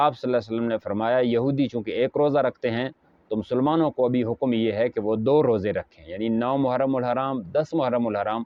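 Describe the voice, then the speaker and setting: A man's ordinary speaking voice at medium pitch, with fairly even intonation. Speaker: Islamic scholar. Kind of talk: religious sermon to camera.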